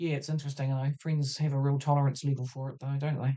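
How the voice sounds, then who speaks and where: In a New Zealand accent, a woman speaks with a very deep, low pitch, a dark, mellow tone and monotone, flat intonation. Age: 60s. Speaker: podcast host. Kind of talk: casual reflective talk.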